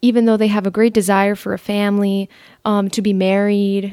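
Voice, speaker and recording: Heard on a very clean recording with a silent background, a woman speaks with an American accent. She has a normal speaking voice at a medium pitch. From Miami, Florida. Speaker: recent college graduate. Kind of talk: casual interview.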